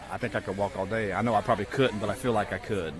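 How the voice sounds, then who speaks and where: A man speaks with an Appalachian accent in a fairly low voice. There is noticeable background noise. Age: 60s. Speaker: teacher. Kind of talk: radio interview. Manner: casual.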